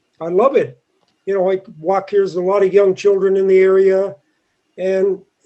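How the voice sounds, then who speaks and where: With a Canadian Maritime accent, a man speaks at a high pitch. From Nova Scotia, Bedford. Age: 60s. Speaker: resident speaking at public meeting. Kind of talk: public comment at planning meeting.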